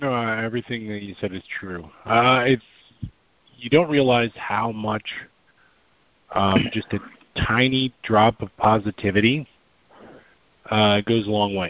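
A man's medium-pitched voice at a fairly slow pace, with fairly even intonation, big swings in loudness, and long, frequent pauses. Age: 40s. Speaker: fitness group member. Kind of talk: casual chat. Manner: halting.

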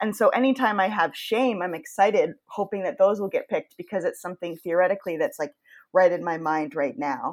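An ordinary speaking voice with an American accent on a very clean recording with a silent background. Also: woman, medium pitch for a woman, lively intonation. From Maine, US (Yarmouth). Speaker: podcast host. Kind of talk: casual chat.

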